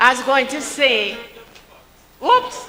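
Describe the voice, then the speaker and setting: A woman with a Jamaican accent over noticeable background noise. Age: 80s+. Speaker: political party speaker. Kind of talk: political rally speech.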